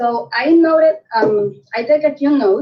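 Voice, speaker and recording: The intonation is lively. A woman talks in a Spanish accent. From Puerto Rico. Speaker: network marketing director. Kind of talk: sales pitch on video call. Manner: halting.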